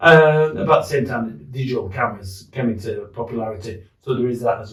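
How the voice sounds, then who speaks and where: In a Yorkshire accent, a man speaks at a fairly quick pace in a somewhat breathy, medium-pitched voice with ordinary pitch variation and big swings in loudness. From northern England, Leeds. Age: 60s. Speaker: war veteran. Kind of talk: casual chat. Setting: in a pub.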